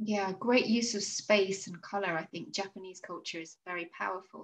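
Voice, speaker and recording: A woman's somewhat breathy voice at a moderate pace. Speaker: podcast host. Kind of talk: casual interview. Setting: video call. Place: home room. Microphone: video call.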